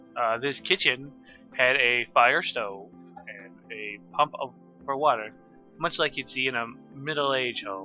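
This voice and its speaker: Music plays in the background as a man talks at a medium pitch with ordinary pitch variation. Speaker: amateur storyteller. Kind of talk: casual read story. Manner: relaxed, with ums and pauses.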